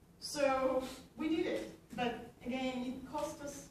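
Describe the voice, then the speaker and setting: In a Bolivian accent, a woman speaks at a high pitch with ordinary pitch variation, and audible room echo surrounds her voice. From Bolivia, Cochabamba. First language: Spanish. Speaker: activist speaker. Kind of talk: conference talk. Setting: conference hall with audience. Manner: halting, many fillers.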